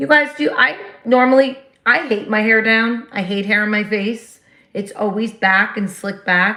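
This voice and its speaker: Loud and bright, with a sharp tone, a woman with a New Jersey accent speaks at a fairly high pitch with ordinary pitch variation. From New Jersey, US. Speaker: livestream host. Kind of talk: casual chat.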